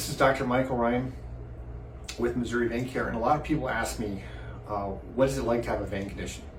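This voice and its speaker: A man talks at a very fast pace and a medium pitch, with ordinary pitch variation and long, frequent pauses. The recording has noticeable background noise and audible room echo. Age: 60s. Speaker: vascular surgeon. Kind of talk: personal testimony. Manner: hesitant with fillers and repeats.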